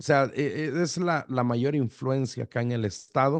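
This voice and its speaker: The voice goes at a fairly slow pace with ordinary pitch variation, recorded dry and close with no echo. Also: man. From El Salvador, Metapán near Guatemala border. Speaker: pastor. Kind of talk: radio interview. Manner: halting.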